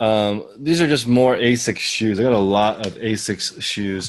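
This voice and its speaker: A man speaks at a very slow pace. His pitch sits in the medium range. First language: not English. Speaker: online reseller, fellow channel owner. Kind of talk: casual haul video chat.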